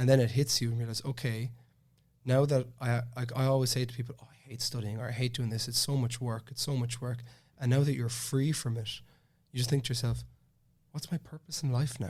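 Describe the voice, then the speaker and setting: With a Cork accent, a somewhat breathy man speaks at a fairly quick pace and medium pitch, his intonation monotone and flat but with big swings in loudness. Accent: Cork Irish. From Ireland, Cork. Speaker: master's student. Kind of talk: casual podcast interview. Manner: halting, many false starts.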